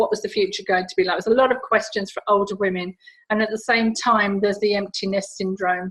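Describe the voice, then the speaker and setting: A woman at a very fast pace, medium in pitch, with monotone, flat intonation. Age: 60s. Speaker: stress and rejuvenation coach. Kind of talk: interview.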